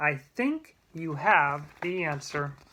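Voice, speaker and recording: A woman puts on a character voice pitched very deep and low. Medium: read story.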